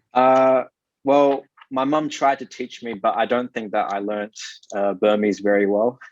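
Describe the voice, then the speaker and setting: This man has an Australian accent and a medium pitch with ordinary pitch variation. He speaks at a moderate pace, and the sound is dry and close with no echo. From South Australia (Adelaide). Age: 20s. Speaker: digital marketing consultant and investor. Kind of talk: interview. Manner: halting.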